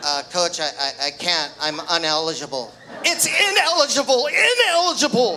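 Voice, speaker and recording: A man speaks at a fairly slow pace in a high voice with very wide pitch swings, crowd noise audible behind him. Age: 60s. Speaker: amateur comedian, wrestling coach. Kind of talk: stand-up comedy set.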